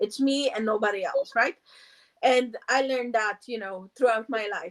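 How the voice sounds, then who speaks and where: A woman's lively intonation rides along at a moderate pace. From Poland. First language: Polish. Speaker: meditation teacher. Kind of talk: casual interview. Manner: halting, many fillers.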